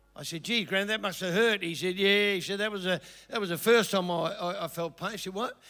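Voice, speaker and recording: In an Australian accent, a man with a high pitch uses a raised, projected voice with a bright, sharp tone, fairly even intonation and a fairly quick pace on a very clean recording with a silent background. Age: 70s. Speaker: comedian. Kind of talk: stand-up. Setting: stage with audience. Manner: halting.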